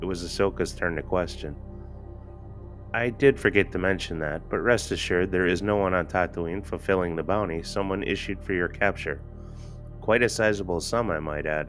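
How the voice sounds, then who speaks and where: Background music behind a moderate pace and ordinary pitch variation. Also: man, very deep, low pitch for a man. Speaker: amateur audiobook narrator. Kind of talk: fan audiobook reading. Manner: some stuttering and stammering.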